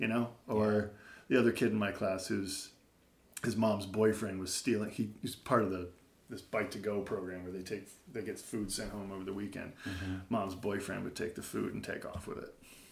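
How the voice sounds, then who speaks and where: The intonation is monotone and flat. Room echo can be heard. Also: man, fairly low pitch for a man, moderate pace. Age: 40s. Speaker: elementary school teacher. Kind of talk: casual chat.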